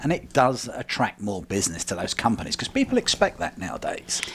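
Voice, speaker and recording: The man's speech moves along fairly quickly. He has a British accent. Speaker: print shop co-owner. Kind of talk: radio interview.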